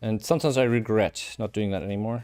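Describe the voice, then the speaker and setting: Over music in the background, a man with a German accent talks at a very fast pace and a fairly low pitch. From Germany. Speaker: software developer streamer. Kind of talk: live coding stream. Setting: home, streaming live.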